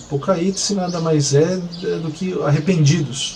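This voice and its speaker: Very slow speech with audible room echo and noticeable background noise. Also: man. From Brazil. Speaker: missionary pastor. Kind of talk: testimony. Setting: apartment balcony. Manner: halting with many fillers.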